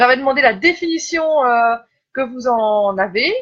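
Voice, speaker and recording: A woman speaks at a high pitch in a Belgian accent. Her intonation is lively. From Belgium. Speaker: life coach. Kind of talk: live stream talk. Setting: live video stream. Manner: hesitant, many fillers.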